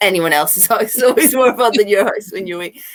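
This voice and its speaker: A woman talks at a very fast pace in an animated tone. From Northern Ireland. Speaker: children's author. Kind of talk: panel talk. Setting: live online video event.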